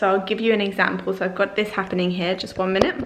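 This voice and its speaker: Here is a woman at medium pitch with an English accent. Her pitch varies in an ordinary way. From England. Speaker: lifestyle vlogger. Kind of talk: casual tutorial vlog. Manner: chatty, informal.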